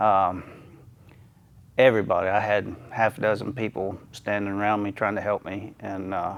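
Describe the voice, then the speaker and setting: Speaking at a moderate pace, the man keeps a monotone, flat intonation. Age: 60s. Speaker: masters powerlifter. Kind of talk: interview testimony. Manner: halting, many fillers.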